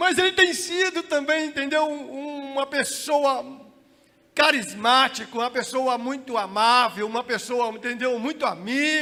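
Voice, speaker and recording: A man's raised, projected voice sounds shrill at an extremely high pitch. He speaks at a fairly slow pace with ordinary pitch variation. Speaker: pastor. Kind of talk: sermon. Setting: church.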